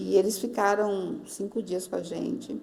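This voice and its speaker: At a fairly slow pace, a woman of medium pitch speaks with ordinary pitch variation over noticeable background noise. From Northeast Brazil. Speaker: pastor. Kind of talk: interview answer.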